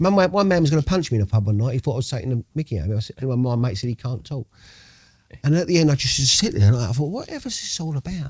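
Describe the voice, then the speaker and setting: A man with a medium pitch and lively intonation talks at a very fast pace, somewhat breathy, in a dry, close sound with no echo. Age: 60s. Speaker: recovering addict. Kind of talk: podcast interview. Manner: animated.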